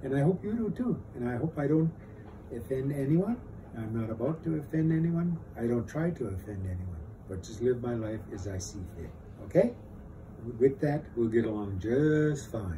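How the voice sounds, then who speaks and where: A man's dark, mellow voice, somewhat breathy, swings very widely in pitch. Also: medium pitch for a man, moderate pace. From northern Minnesota reservation. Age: 70s. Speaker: war veteran. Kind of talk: interview testimony. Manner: halting.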